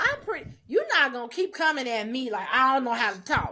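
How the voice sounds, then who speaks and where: A woman speaks at a high pitch in a raised, projected voice. Her pitch swings very widely at a moderate pace. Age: 30s. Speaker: podcast co-host. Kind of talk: casual chat. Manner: halting, fumbles words.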